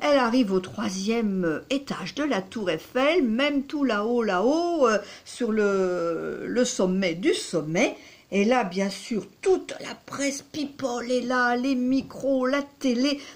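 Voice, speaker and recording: At a very slow pace, a woman speaks in a high pitch. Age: 60s. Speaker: psychotherapist and dating coach. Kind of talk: storytelling to camera. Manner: hesitant, many fillers.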